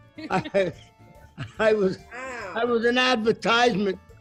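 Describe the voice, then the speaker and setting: With music in the background, a man with an American accent speaks at a very slow pace in a high pitch, using ordinary pitch variation. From Brooklyn, New York. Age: 80s+. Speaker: WWII Navy veteran. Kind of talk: casual storytelling while cooking.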